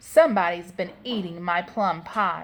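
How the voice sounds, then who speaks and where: A female-sounding voice puts on a growling character voice at middle pitch. The pace is moderate. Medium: read story.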